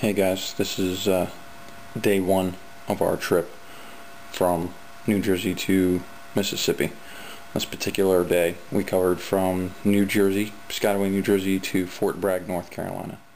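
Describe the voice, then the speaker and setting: With light background noise, a man speaks at a moderate pace in a very deep, low pitch, his intonation monotone and flat, and his long, frequent pauses stand out. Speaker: road trip vlogger. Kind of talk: casual vlog chat. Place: home room. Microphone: webcam.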